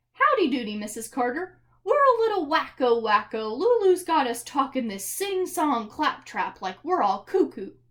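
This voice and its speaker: A raised, projected put-on character voice with very wide pitch swings, hardly any pauses and a moderate pace. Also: woman, high pitch for a woman. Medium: read story.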